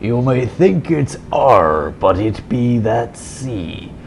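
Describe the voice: A man uses a put-on character voice and talks at a very slow pace, with clear noise in the background. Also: medium pitch for a man.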